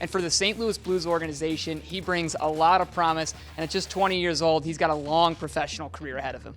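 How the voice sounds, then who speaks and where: A man's fairly high-pitched voice at a very fast pace, with fairly even intonation, hardly any pauses, and music playing in the background. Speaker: sports broadcaster. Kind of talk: sideline hockey reporting and interviews.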